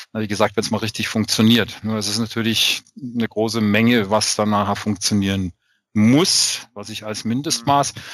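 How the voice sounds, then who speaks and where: Using an ordinary speaking voice, a man with a fairly low pitch talks at a moderate pace, his intonation fairly even but his loudness swinging widely. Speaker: podcast co-host. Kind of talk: casual chat.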